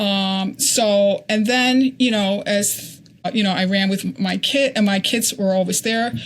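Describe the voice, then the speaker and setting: At a fairly slow pace, a woman speaks at a medium pitch with ordinary pitch variation and very even loudness. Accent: American. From Connecticut. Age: 60s. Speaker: ultrarunner. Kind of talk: interview. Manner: halting.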